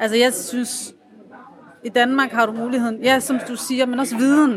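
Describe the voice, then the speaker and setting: Speaking with an Aarhus accent, a woman uses a high pitch. Noticeable background noise is present. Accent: sing-song Aarhus Danish. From Aarhus, Denmark. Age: 30s. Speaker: café patron, lab technician. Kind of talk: casual interview. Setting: café.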